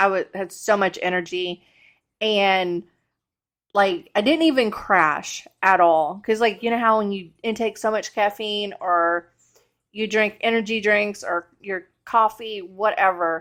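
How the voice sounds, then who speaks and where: A woman speaks at a medium pitch with ordinary pitch variation and a fairly slow pace. The recording is very clean, with a silent background. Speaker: cleaning vlogger. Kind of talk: casual vlog narration.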